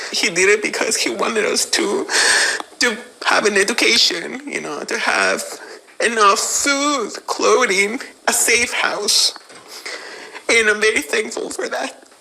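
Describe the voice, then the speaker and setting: A woman speaks at a fairly slow pace with long, frequent pauses against noticeable background noise. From Mexico. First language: Spanish. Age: 30s. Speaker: undocumented immigrant. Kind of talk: interview testimony. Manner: halting, many fillers.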